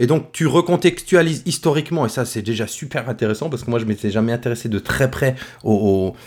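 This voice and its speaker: Using a regional French accent, a man talks at a fairly quick pace with lively intonation. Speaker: podcast host, teacher. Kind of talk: casual chat.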